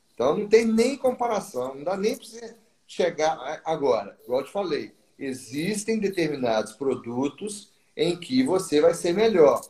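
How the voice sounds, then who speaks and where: Slow-ish, high-pitched man with a dark, mellow tone, very wide pitch swings and big swings in loudness. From Brazil. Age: 50s. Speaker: textile importer. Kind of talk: interview. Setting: live stream. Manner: halting, many repetitions.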